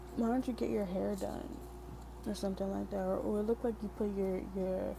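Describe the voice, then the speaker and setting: This woman is soft-spoken. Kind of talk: soft-spoken ASMR poetry reading with personal commentary. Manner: soft-spoken, relaxing.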